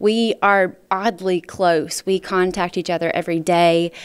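Here a woman speaks in a Mississippi accent. The background is quiet. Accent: Southern US (Mississippi). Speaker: pageant titleholder. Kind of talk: interview. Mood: warm, upbeat.

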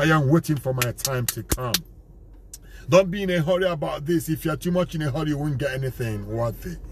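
A man's fairly high voice with ordinary pitch variation, dry and echo-free, over light background noise. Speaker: evangelist, foundation president. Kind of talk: sermon-style talk to camera. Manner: emphatic, preaching. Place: car. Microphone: phone near.

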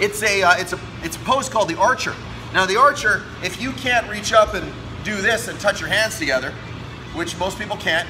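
Music plays in the background as a man speaks. His pace is fairly quick and his intonation lively. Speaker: fitness coach. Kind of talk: tutorial. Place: gym. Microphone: phone near.

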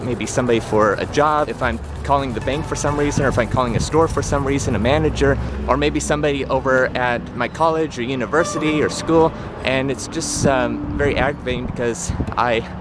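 With music playing behind him, a man speaks fairly quickly with ordinary pitch variation in a dry sound that has no echo. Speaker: vlogger. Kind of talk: casual vlog chat. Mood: earnest, explanatory. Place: street. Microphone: phone near.

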